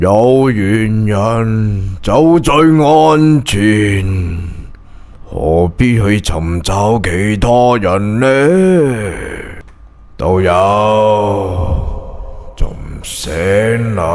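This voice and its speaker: A man uses a put-on character voice pitched fairly low. His intonation is lively. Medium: read story. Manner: polite, smiling, falsely benign.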